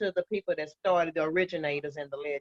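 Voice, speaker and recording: A woman speaks at a very fast pace with ordinary pitch variation, and the sound is dry and close with no echo. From Fort Worth, Texas. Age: 60s. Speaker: dance instructor. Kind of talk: interview conversation.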